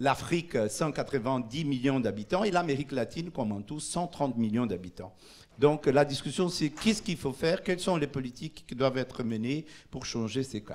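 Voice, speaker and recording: The speaker is a man. His pace is moderate and his intonation lively. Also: medium pitch for a man. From Brazil. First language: Portuguese (speaking French). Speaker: urban policy official. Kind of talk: conference presentation. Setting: conference in Paris. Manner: halting, many hesitations.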